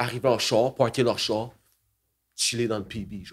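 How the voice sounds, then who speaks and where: At a fairly quick pace, a man talks with fairly even intonation against a quiet background. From Quebec, Magog area with Montreal ties; Quebec. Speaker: rapper and beatmaker; guest. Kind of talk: casual interview chat. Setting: bar.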